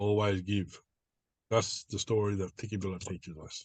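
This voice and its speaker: A man talks with an Australian accent at a fairly slow pace. His intonation is fairly even, and the background is quiet. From northwestern New South Wales, Australia. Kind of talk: interview answer.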